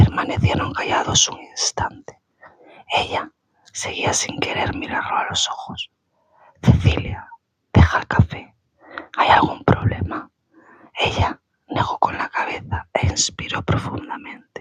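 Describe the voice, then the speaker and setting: In a whisper, someone speaks at a fairly slow pace with long, frequent pauses. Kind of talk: ASMR book reading. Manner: whispered.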